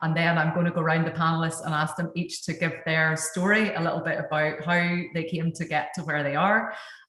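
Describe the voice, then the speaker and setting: A woman talks at a fairly quick pace with hardly any pauses, in a strong Northern Irish accent and a flat monotone. Room echo is audible. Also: fairly low pitch for a woman. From Northern Ireland. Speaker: dentist, panel moderator. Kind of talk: webinar panel talk.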